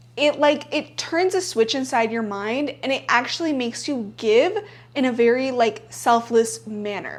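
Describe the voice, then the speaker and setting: This woman's high voice moves at a moderate pace with ordinary pitch variation. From bilingual Spanish-English upbringing. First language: Spanish. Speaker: self-help YouTuber. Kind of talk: casual vlog talk to camera. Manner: conversational with many filler likes.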